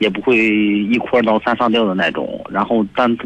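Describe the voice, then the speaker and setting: A man speaks at a moderate pace and medium pitch with fairly even intonation in an unremarkable speaking voice. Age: 20s. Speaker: radio caller. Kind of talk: phone call-in. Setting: phone call.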